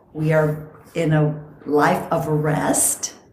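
A woman's voice carries audible room echo. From Costa Rica. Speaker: podcast host and longevity coach. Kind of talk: casual chat.

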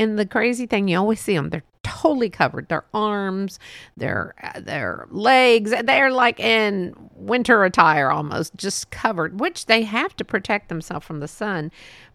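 A woman speaks at a moderate pace with lively intonation and a medium pitch. The recording is very clean, with a silent background. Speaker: podcast host. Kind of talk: casual monologue. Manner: rambling, laughs often.

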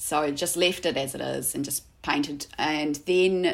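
A woman speaks with a New Zealand accent. Her voice is very deep and low, with fairly even intonation. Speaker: artist. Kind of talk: casual interview chat.

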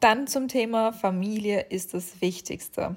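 Using an unremarkable speaking voice, a woman talks in a mid-range pitch whose rise and fall is typical. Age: 20s. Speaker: podcast host. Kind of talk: casual monologue.

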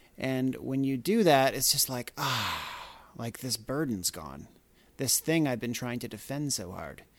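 In a normal speaking voice, a man with a Canadian accent talks at a fairly slow pace with medium pitch and lively intonation, on a very clean recording with a silent background. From Canada. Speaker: podcast host and mindfulness teacher. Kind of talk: solo monologue podcast. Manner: casual, with filler words.

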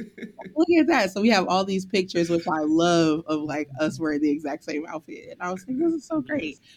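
A normal speaking voice from a fairly low-pitched woman, fairly quick and lively in intonation, with hardly any pauses. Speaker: podcast co-host. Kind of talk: casual interview conversation.

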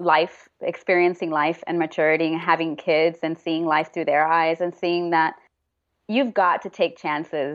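A woman with an American accent and a fairly low pitch speaks at a moderate pace in a plain, everyday voice. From Texas, Houston. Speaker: actor. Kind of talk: interview.

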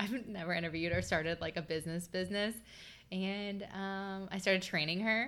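A woman speaks in an ordinary speaking voice at a medium pitch and a fairly quick pace. Her intonation stays fairly even, and the recording is very clean with a silent background. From Southern Ohio. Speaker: hairstylist and makeup artist. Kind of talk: casual chat.

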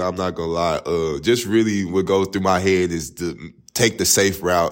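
With an American accent, a man speaks at a moderate pace in a very deep, low pitch. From East Texas, Tyler. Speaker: college basketball player. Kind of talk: interview.

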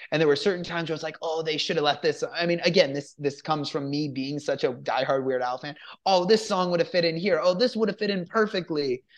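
Against a quiet background, a man with a fairly high pitch speaks at a very fast pace with hardly any pauses, in an animated, excited tone with ordinary pitch variation. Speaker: film review podcast host. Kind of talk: casual review chat.

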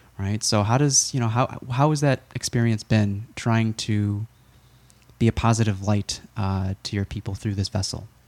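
A man with a plain, everyday voice, fairly low in pitch, with fairly even intonation at a moderate pace, in a dry, close sound with no echo. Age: 30s. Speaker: podcast host, healthcare provider. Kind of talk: casual interview chat.

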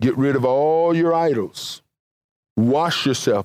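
A man with a Mississippi accent speaks at a very slow pace with ordinary pitch variation. The sound is dry and close with no echo, in a very clean recording with a silent background. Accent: Southern US (Mississippi). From US South, Mississippi. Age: 60s. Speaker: pastor and Bible teacher. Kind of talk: sermon.

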